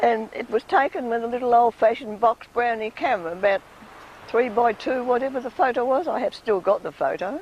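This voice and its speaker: A woman with an Australian accent speaks at a fairly quick pace in a high pitch. Her pitch variation is ordinary, and there is noticeable background noise. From Tasmania. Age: 80s+. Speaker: local resident. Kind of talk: interview.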